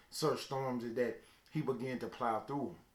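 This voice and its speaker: A man at medium pitch with a Southern US accent, noticeable background noise behind him. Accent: Southern country. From US South, Mississippi (Calhoun City). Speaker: motivational speaker. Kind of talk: motivational talk. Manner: storytelling, preacher-like.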